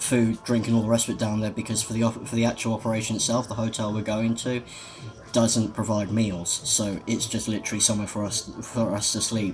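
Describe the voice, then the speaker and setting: A man with a British accent speaks in a medium pitch. His intonation is monotone and flat, with noticeable background noise. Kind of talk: casual vlog. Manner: halting, many ums.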